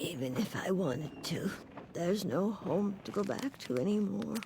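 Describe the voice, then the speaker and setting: Using a put-on character voice, a woman speaks raspily at medium pitch and a moderate pace with very wide pitch swings, over clear background noise. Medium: fan dub. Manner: soft, meandering.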